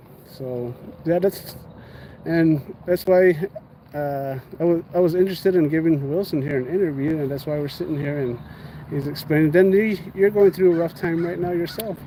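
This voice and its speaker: There is noticeable background noise as a man talks at a moderate pace. His pitch is fairly high, with ordinary variation. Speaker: livestreamer, police accountability activist. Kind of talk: interview. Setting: outdoors in a park, live stream. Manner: repetitive, stammering.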